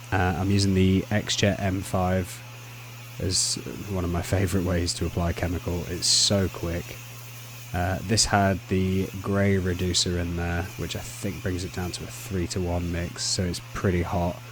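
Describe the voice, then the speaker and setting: A man's very deep, low voice with a relaxed tone and a Lincolnshire accent, against noticeable background noise. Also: ordinary pitch variation, moderate pace. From Lincolnshire, England. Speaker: pressure washing contractor. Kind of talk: voice-over commentary on work footage. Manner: casual, relaxed.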